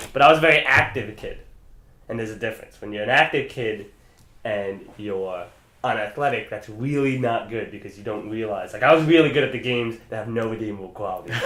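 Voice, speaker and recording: Very fast and bright with a sharp tone, a man's medium-pitched voice carries audible room echo. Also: ordinary pitch variation, big swings in loudness. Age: 20s. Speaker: podcast co-host. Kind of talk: casual chat. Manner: halting.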